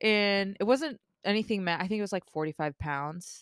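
A woman talks in an ordinary speaking voice at a medium pitch and a moderate pace, with lively intonation. The sound is dry and close, with no echo. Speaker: spearfisher. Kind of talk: casual chat. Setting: home garage studio.

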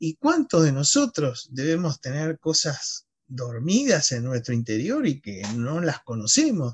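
Somewhat breathy and full of lively intonation, the voice comes across dry and close with no echo. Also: man, fairly high pitch for a man, fairly slow pace. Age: 60s. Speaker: novelist and war veteran. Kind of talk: casual interview chat. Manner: halting, many fillers.

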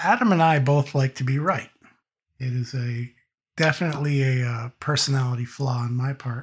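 A man with an American accent speaks at a moderate pace and medium pitch, somewhat breathy and with fairly even intonation, over a quiet background. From Massachusetts. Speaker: podcast guest, tabletop gamer. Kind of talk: casual chat. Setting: voice call over Discord, no video.

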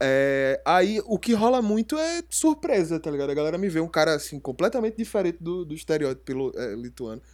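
At a moderate pace, a man with a plain, everyday voice speaks with lively intonation. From Recife, Pernambuco, Brazil. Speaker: podcast co-host. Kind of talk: casual chat.

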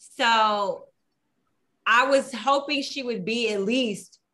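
A woman with an American accent, fairly high pitch, bright, sharp tone, ordinary pitch variation and a very slow pace. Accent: Texas country twang, noted by co-hosts. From Houston, Texas. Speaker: podcast co-host. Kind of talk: casual chat.

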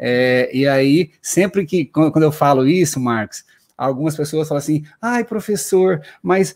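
A man with an unremarkable speaking voice talks fairly slowly at a fairly high pitch, using lively intonation. The recording is very clean, with a silent background. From Paraná, southern Brazil. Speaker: exam-prep law teacher. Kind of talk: live-stream interview.

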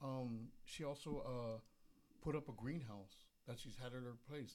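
A man speaks in an unremarkable speaking voice. His medium pitch carries ordinary variation. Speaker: magazine sponsor. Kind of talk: casual chat. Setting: studio.

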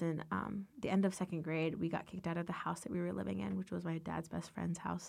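This woman has a plain, everyday voice, pitched fairly low, with fairly even intonation. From US, Northern Virginia (Loudoun County). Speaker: college student and dancer. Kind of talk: casual interview testimony.

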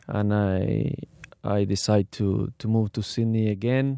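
A man with a Spanish accent speaks at a fairly slow pace in a fairly low, dark, mellow tone, the sound dry and close with no echo. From Argentina. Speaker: professional footballer. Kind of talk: interview. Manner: halting.

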